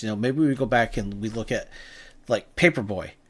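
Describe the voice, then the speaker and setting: Recorded very cleanly against a silent background, a man with a strong New England accent speaks fairly slowly at medium pitch with ordinary pitch variation. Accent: thick New England. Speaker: game developer reviewing game jam entries. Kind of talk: live stream game review commentary. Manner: casual, hesitant with fillers.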